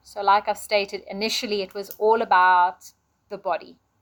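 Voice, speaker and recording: Speaking at a medium pitch, a woman keeps her intonation monotone and flat. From Portuguese family home. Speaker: yoga teacher and vlogger. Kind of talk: solo vlog monologue. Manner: reflective.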